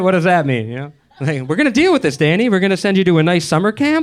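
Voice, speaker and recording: An animated man with an American accent, high-pitched, his pitch swinging very widely over noticeable background noise. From Boston, US. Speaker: comedian. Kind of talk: stand-up. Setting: stage with audience.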